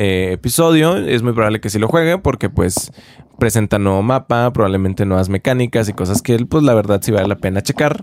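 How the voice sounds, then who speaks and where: A man's fairly low-pitched voice at a moderate pace, with lively intonation. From Mexico, Chihuahua. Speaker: podcaster. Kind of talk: casual monologue. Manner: hesitant, repeats words.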